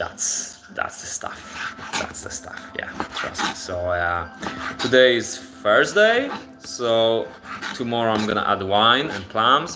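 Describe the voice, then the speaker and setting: Recorded with audible room echo and noticeable background noise, a man speaks very slowly with a Polish accent. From Poland. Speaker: cooking livestreamer. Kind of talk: live cooking stream. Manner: casual, halting with repetitions.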